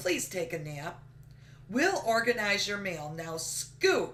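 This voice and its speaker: A woman puts on a character voice at a medium pitch with lively intonation and a fairly slow pace. Background noise is clearly heard. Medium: read story.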